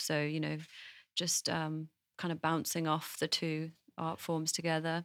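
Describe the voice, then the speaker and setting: A woman with an English accent speaks at a moderate pace in a very deep, low voice with monotone, flat intonation, in a dry, close sound with no echo. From England. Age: 20s. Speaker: singer-songwriter. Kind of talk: interview conversation. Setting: studio.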